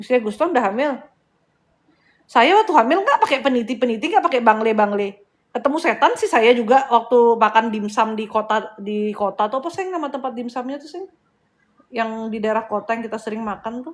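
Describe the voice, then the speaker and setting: An animated woman's voice at a fairly high pitch and fairly quick pace, with ordinary pitch variation and big swings in loudness. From Bali, Indonesia. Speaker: spiritual healer and live-stream host. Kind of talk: casual live-stream chat. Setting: live stream.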